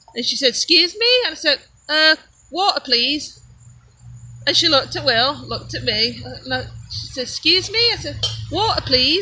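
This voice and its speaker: Amid noticeable background noise, a woman speaks at a moderate pace, leaving long, frequent pauses. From England, Derbyshire. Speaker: homesteader. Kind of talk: casual chat. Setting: live stream.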